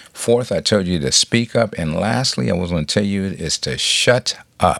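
Lively intonation and an animated tone mix with vocal fry on a very clean recording with a silent background. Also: man. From Compton, California. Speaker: podcast host. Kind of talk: motivational monologue.

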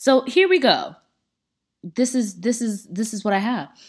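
An animated tone with vocal fry. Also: woman. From Central Florida (Tampa). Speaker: podcast host. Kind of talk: casual monologue.

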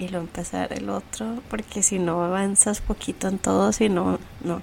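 A woman at a medium pitch speaks with vocal fry. Her intonation is fairly even and her pace moderate. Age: 30s. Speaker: podcast host, architect. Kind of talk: casual chat.

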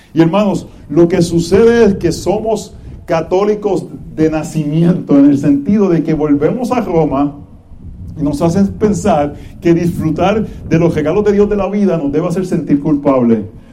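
Over noticeable background noise and audible room echo, a man speaks at a moderate pace, his high pitch showing ordinary variation. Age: 40s. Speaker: pastor. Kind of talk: sermon.

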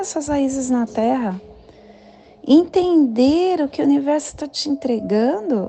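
A woman with a high-pitched voice talks at a very slow pace over noticeable background noise. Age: 40s. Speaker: spiritual guide. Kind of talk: daily spiritual talk.

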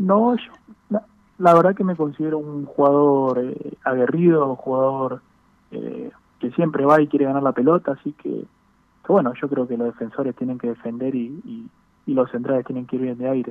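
A man speaks at a moderate pace in a plain, everyday voice. His pitch is fairly high, with ordinary variation. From Buenos Aires, Argentina. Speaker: professional footballer. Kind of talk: interview.

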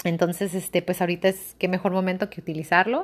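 On a very clean recording with a silent background, a woman talks very fast at a medium pitch. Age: 20s. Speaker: podcaster. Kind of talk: casual monologue.

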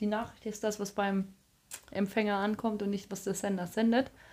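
A woman speaks at a moderate pace. Her pitch sits fairly high. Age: 30s. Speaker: podcast co-host. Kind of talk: casual chat. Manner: talkative.

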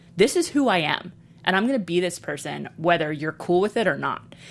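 With lively intonation, a woman with an American accent talks at a fairly quick pace. Her voice is fairly low in pitch, an ordinary speaking voice. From Brooklyn, New York and Texas. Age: 30s. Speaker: comedian and author. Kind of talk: casual interview chat.

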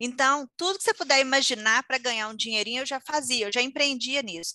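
A woman's high-pitched, bright, sharp voice with ordinary pitch variation, dry and close with no echo against a quiet background. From Minas Gerais, Brazil (Conselheiro Lafaiete). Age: 30s. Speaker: entrepreneur and English teacher. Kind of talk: interview.

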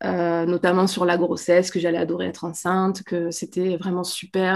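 A woman's medium-pitched voice at a moderate pace. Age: 30s. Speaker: pregnant mother, social media creator. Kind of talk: interview. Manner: hesitant, many fillers.

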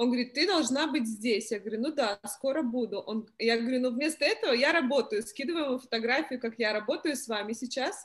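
A woman's high-pitched voice, very fast and with hardly any pauses. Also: ordinary pitch variation. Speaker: participant asking advice. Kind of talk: casual Q&A. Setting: video call.

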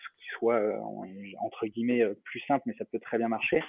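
A man talks at a moderate pace and a medium pitch. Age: 30s. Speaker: startup founder. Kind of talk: interview. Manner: halting.

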